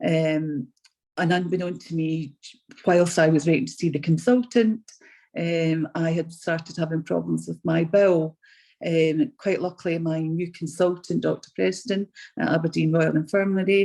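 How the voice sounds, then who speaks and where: A woman speaks at a moderate pace and fairly low pitch, with a dark, mellow tone. The background is quiet. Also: ordinary pitch variation. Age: 60s. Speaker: patient telling her story; RAF veteran. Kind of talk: testimony. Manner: halting, many ums.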